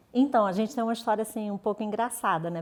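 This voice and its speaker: The speaker talks with a Rio de Janeiro accent. The pitch variation is ordinary. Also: woman. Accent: carioca accent, noticeable. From Rio de Janeiro, Brazil; later Minas Gerais. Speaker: journalist and editor. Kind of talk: interview. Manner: relaxed.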